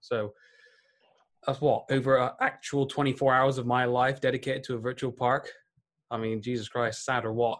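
Speaking with a British accent, a man keeps a monotone, flat intonation at a moderate pace. Long, frequent pauses break up his speech. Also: medium pitch for a man. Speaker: podcast co-host, gamer.

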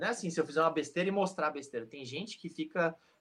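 Speaking at a very fast pace, a man delivers his lines. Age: 30s. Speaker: sports YouTuber. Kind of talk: interview.

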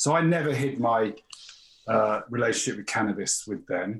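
A somewhat breathy male voice at a moderate pace with ordinary pitch variation. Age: 40s. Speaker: geography teacher. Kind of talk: casual chat. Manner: halting.

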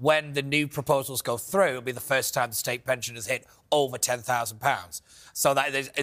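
A man with a northern English accent speaks at a fairly quick pace. His pitch is medium, with ordinary variation. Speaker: panelist. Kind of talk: comedy quiz banter.

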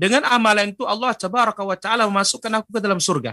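Against a quiet background, a man speaks in a high pitch. His voice is raised and projected, with a bright, sharp tone. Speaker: Islamic preacher. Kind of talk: religious lecture; Q&A answering viewer questions. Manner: formal.

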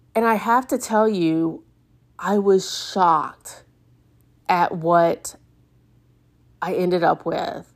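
Very slow, medium-pitched woman's speech with long, frequent pauses. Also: ordinary pitch variation. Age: 50s. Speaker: podcast host and retreat organizer. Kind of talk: casual solo monologue.

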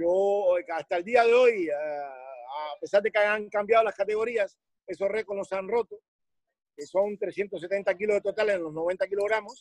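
A man speaks with a Cuban accent at a fairly slow pace and a high pitch. The sound is dry and close, with no echo. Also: ordinary pitch variation. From Cuba, Havana. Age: 60s. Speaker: weightlifting coach. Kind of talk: interview.

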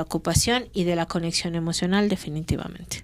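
On a very clean recording with a silent background, a woman with an unremarkable speaking voice talks at a fairly quick pace, medium pitch and fairly even intonation. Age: 40s. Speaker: podcast co-host. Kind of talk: casual chat.

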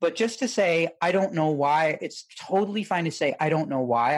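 On a very clean recording with a silent background, a man with an unremarkable speaking voice talks at a moderate pace in a fairly high pitch, with ordinary pitch variation. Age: 50s. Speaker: sex and relationship coach. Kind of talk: casual chat.

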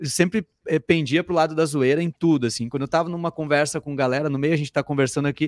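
Very fast and fairly high-pitched, a man's voice comes through in a very clean, dry, close recording with no echo and a silent background. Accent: Gaúcho Brazilian. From southern Brazil, interior of Rio Grande do Sul (Sapiranga). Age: 30s. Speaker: comedian and comedy writer. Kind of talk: casual chat.

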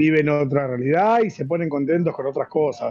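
This man's fairly high voice moves with ordinary pitch variation. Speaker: club member commentator. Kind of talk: casual chat. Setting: remote call.

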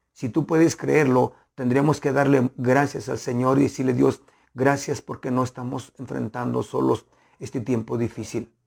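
The voice has a warm tone and vocal fry, moving at a fairly slow pace. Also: man. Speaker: pastor. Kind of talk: sermon. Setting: online broadcast. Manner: earnest, pastoral, warm, with rhythmic repetition of phrases.

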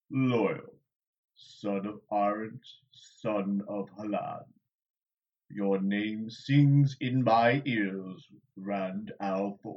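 Using a put-on character voice, a man rumbles at a fairly low pitch, very slowly and with long, frequent pauses. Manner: slow, deliberate; mild, slightly wounded, earnest.

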